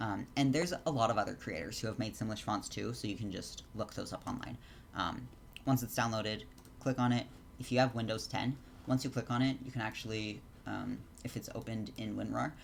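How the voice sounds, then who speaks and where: Vocal fry runs through a man's medium-pitched voice as he talks at a fairly quick pace. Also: ordinary pitch variation. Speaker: Sims 4 custom content creator. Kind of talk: tutorial. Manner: fast; many filler words.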